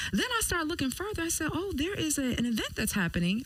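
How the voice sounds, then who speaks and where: With a slight East Coast accent and an animated tone, a woman speaks in very wide pitch swings over noticeable background noise. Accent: East Coast tinge. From Detroit. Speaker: radio host. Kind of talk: radio interview.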